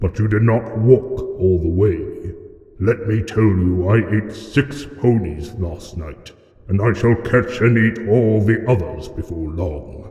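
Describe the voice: Putting on a character voice, a man speaks at a medium pitch. He goes at a fairly slow pace, with a slight echo.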